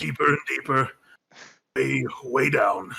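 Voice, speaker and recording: Raspy, put-on character voice from a man. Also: fairly slow pace. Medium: actual play.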